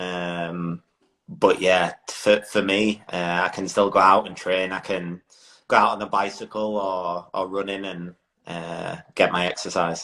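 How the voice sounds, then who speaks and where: A man with an English accent speaks at a fairly slow pace in a very deep, low pitch with a bright, sharp tone and monotone, flat intonation. His loudness swings widely in a very clean recording with a silent background. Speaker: motorcycle road racer. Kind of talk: casual interview. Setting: social media live video.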